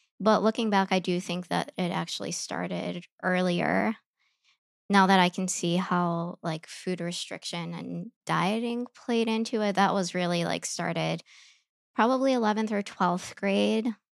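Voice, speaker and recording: At a fairly slow pace, a woman speaks with a Midwestern accent. The recording is very clean, dry and close with no echo, and the background is silent. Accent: American Midwest. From US Midwest, Chicago. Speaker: yoga teacher and eating disorder survivor. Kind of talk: personal testimony interview.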